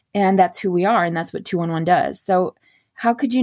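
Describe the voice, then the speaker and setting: A woman with a Michigan accent at a fairly quick pace, ordinary pitch variation, on a very clean recording with a silent background. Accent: Upper Midwest (Michigan) American. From Michigan (Beaverton). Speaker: non-profit director. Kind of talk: interview.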